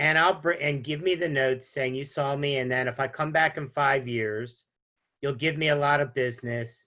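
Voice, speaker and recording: A man talks at a moderate pace in a fairly high pitch with ordinary pitch variation. His is a plain, everyday voice. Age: 60s. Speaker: insurance agent. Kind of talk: interview. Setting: studio.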